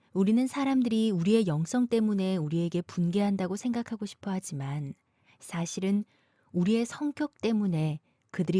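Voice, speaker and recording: A woman with a medium pitch and a dark, mellow, somewhat breathy tone speaks at a moderate pace with lively intonation, recorded very cleanly with a silent background and a dry, close sound free of echo. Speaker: voice actor.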